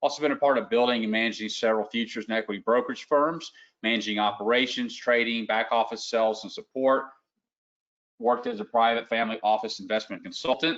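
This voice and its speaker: The voice has a Southern US accent and moves at a very fast pace. The background is quiet. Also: man, medium pitch for a man, fairly even intonation. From US South, Lower Alabama. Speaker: trading educator. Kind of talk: live webinar presentation. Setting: online webinar. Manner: casual.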